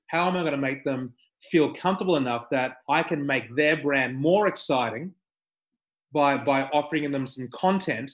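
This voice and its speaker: A man with an Australian accent, fairly high-pitched, with fairly even intonation at a moderate pace. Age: 50s. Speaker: skydiving entrepreneur. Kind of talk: casual interview.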